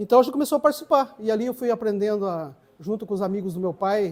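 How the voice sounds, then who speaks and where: A very clean recording and silent background, with lively intonation. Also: man. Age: 60s. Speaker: samba percussionist. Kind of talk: interview testimony. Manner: halting, with repetitions.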